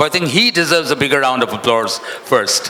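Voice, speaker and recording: A man with a fairly high pitch talks at a fairly quick pace against noticeable background noise. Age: 70s. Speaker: event MC. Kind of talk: event emceeing. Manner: animated.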